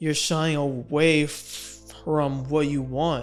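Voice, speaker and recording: A man's monotone, flat voice with music in the background. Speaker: stuttering awareness vlogger. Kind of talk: personal talk to camera.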